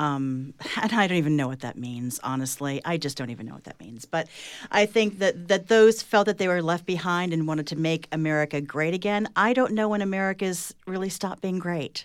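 With an ordinary speaking voice, a woman talks at a fairly quick pace and a fairly low pitch, using lively intonation and big swings in loudness. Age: 50s. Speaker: author and journalist. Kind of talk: panel discussion.

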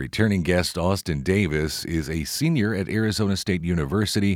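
On a very clean recording with a silent background, a man talks at a fairly quick pace with a very deep, low pitch. His intonation is lively, with vocal fry. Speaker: radio host.

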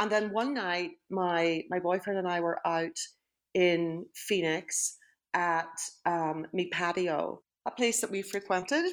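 A woman speaks with a Northern Irish accent at a medium pitch with ordinary variation. Her pace is very slow. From Northern Ireland. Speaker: retired high school principal. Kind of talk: interview.

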